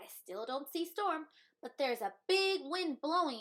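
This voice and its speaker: A woman's high-pitched, put-on character voice. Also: moderate pace. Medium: read story. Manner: sputtering.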